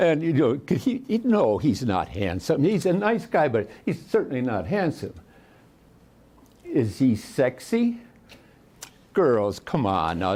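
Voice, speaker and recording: With vocal fry and a dark, mellow tone, a man speaks fairly slowly at a fairly high pitch, swinging very widely in pitch and leaving long, frequent pauses. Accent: American. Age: 90s. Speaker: war veteran. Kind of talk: public talk; telling a joke. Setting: library talk with audience. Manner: halting.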